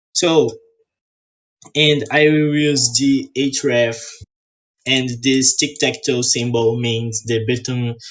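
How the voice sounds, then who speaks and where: A man's somewhat breathy voice moves at a very slow pace with fairly even intonation. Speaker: coding instructor. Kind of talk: tutorial. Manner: halting.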